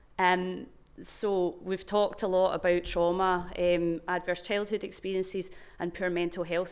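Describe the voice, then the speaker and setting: A woman with a Glaswegian accent speaks at a medium pitch. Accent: Glaswegian Scottish. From Scotland, Glasgow. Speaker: research programme manager. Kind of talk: conference talk. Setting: stage with microphone at conference.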